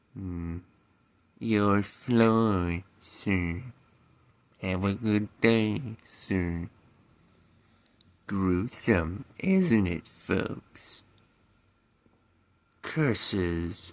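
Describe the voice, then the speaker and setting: Cartoonish character voice from a man, fairly low and deadpan, very slow with long, frequent pauses. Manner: slow, deadpan, droopy monotone.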